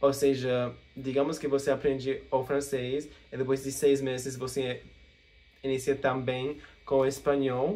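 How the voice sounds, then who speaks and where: Speaking with a non-native accent, a man uses a medium pitch and flat, monotone intonation in a dark, mellow tone, leaving long, frequent pauses. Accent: English-speaking learner accent in Portuguese. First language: English (speaking Portuguese). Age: 20s. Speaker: language learner vlogger. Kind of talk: casual Q&A vlog. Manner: halting, with fillers.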